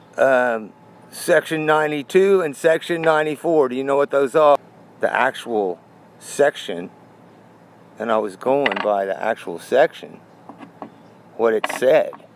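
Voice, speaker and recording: With lively intonation, a man with a fairly high pitch talks at a fairly slow pace, pausing long and often over noticeable background noise. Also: dry, close sound with no echo. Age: 60s. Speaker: coin collector. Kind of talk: casual talk to camera.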